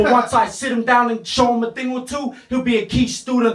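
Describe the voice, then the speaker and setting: A man at a moderate pace, with audible room echo over a quiet background. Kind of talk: a cappella battle rap. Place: home room.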